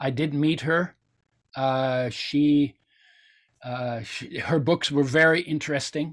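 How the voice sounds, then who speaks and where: With long, frequent pauses and a very slow pace, a man at a fairly high pitch keeps a fairly even intonation on a very clean recording with a silent background. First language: German. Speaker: nutrition expert and oil company founder. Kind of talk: interview.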